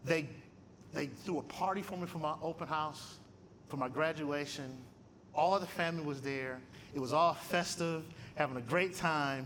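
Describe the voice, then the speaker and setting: Pausing long and often, a man speaks in an animated tone at a fairly high pitch with ordinary variation, and the room echo is audible. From Michigan. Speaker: theology professor and guest speaker. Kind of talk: testimony talk at a luncheon. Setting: luncheon with live audience. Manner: animated, conversational.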